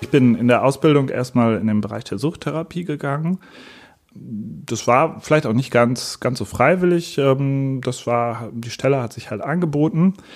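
Lively intonation carries speech at a moderate pace. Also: man, medium pitch for a man. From Germany, Münster. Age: 30s. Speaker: psychotherapist. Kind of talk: interview monologue. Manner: hesitant with fillers.

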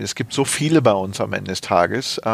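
Over noticeable background noise, the speaker's intonation stays lively. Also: man. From Rhineland, Germany (Neuss). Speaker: corporate HR director. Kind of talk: interview. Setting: office. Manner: hesitant, many fillers.

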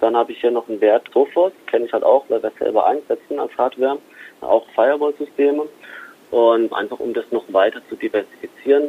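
The pace is fairly quick. Loudness swings a lot. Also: man. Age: 20s. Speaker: private stock trader, IT worker. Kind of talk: interview. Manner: hesitant with fillers.

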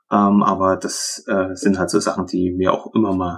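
The man's pitch is very deep and low. He talks in a monotone, flat way. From Upper Lusatia, Saxony. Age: 30s. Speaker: former trainee with depression. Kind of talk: testimony.

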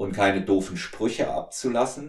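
The man's voice is somewhat breathy and fairly low-pitched, with audible room echo. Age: 50s. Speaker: podcast host and strength coach. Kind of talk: casual interview, being interviewed.

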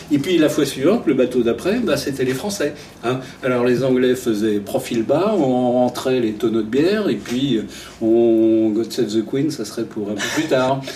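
The speaker talks at a fairly slow pace with ordinary pitch variation, with noticeable background noise behind. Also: man, medium pitch for a man. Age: 60s. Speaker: retired travel journalist. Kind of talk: interview.

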